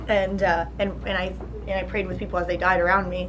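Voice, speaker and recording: A woman speaks at a very fast pace. Noticeable background noise and audible room echo surround her voice. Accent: New Jersey. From New Jersey. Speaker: charity founder. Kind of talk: interview. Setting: college luncheon. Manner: halting, many fillers and restarts.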